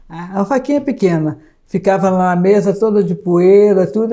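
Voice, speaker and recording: A woman speaks at a medium pitch with ordinary pitch variation. Her tone is dark and mellow. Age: 70s. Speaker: spiritist witness. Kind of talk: interview testimony.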